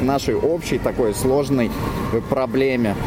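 Moderate pacing from a man with a fairly high voice, noticeable background noise behind him. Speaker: blogger and flash mob organizer. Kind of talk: live field interview. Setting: outdoors.

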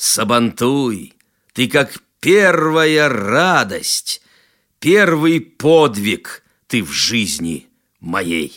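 On a very clean recording with a silent background, a man speaks very slowly with long, frequent pauses. His bright, sharp tone moves through very wide pitch swings. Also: medium pitch for a man. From Tatarstan, rural village. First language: Tatar (speaking Russian). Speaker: poet. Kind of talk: poetry reading.

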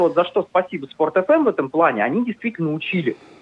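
A man speaks at a very fast pace, his pitch swinging very widely. Noticeable background noise is present. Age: 20s. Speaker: sports journalist. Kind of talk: radio interview.

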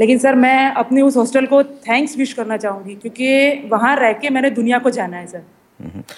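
This woman's voice is high-pitched, with fairly even intonation. Noticeable background noise is present. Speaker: blind guest. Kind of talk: radio interview. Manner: formal, polite.

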